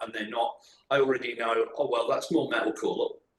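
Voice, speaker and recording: A man with an English accent. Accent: English, noticeable in his singing. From England. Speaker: metal band guitarist and vocalist. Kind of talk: casual podcast interview.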